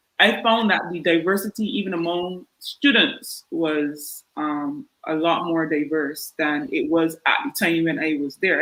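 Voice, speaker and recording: With a strong Barbadian accent, a woman speaks in a medium pitch. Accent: thick Barbadian. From Barbados. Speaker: podiatrist. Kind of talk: panel discussion.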